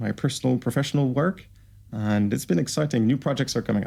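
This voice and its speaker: In a French Canadian accent, a man talks at a medium pitch. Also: very clean recording, silent background. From Quebec, Canada. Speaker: entrepreneur and plant scientist. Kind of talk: casual interview.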